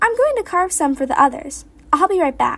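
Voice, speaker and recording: Putting on a squeaky character voice with a warm tone, a woman projects loudly at an extremely high pitch and a fairly quick pace. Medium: read story. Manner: bright, warm.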